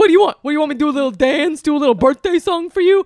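A man puts on a loud character voice at an extremely high pitch. He talks at a very fast pace. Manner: mocking, sarcastic.

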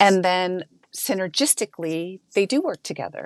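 An unremarkable speaking voice from a woman at medium pitch and a fairly slow pace, with a dry, close sound with no echo and a quiet background. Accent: American. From United States. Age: 50s. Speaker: skincare company co-founder. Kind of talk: interview.

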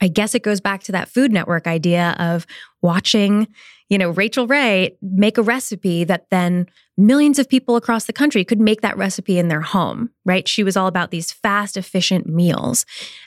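A woman's medium-pitched voice, an ordinary speaking voice with ordinary pitch variation at a moderate pace, in a very clean recording with a silent background and a dry, close sound with no echo. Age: 30s. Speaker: podcast host and entrepreneur. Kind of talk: solo podcast episode answering questions.

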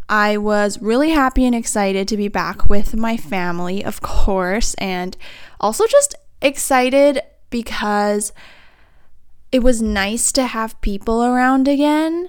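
A woman speaks slowly in a clear, smooth tone, her fairly high pitch showing ordinary variation.

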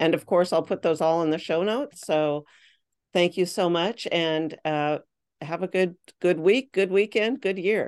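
A woman's fairly low voice, a normal speaking voice, at a fairly slow pace with ordinary pitch variation and a quiet background. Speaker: podcast host. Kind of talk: casual interview chat.

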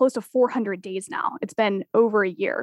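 With an unremarkable speaking voice, a woman talks at a fairly high pitch with ordinary pitch variation in a dry, close sound with no echo. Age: 20s. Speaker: Gen Z expert and author. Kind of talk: interview.

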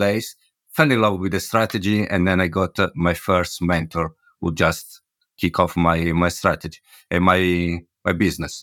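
A bright, sharp tone, dry and close with no echo, on a very clean recording with a silent background. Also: man. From Italy, Milan. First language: Italian. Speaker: property investor. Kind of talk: interview. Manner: halting.

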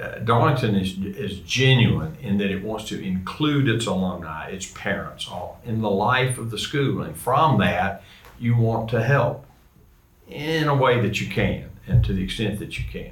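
There is noticeable background noise as a man with a Southern US accent talks at a fairly slow pace. His voice is fairly low, and his intonation is lively. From US South, Georgia. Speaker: guest host, alumnus and former teacher. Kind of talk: casual interview chat.

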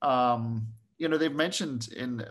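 A man talks in a somewhat breathy voice. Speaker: vertical farm company staff. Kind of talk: casual chat. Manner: animated.

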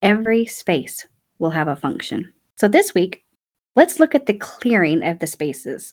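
Talking at a fairly quick pace, a woman uses an animated tone. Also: very clean recording, silent background. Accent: Southern US. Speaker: declutter podcast host. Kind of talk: casual solo podcast talk. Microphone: new podcast microphone.

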